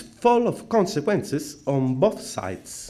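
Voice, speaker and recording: A man's voice makes very wide pitch swings amid audible room echo. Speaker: philosophy scholar. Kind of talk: conference talk. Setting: conference. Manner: formal.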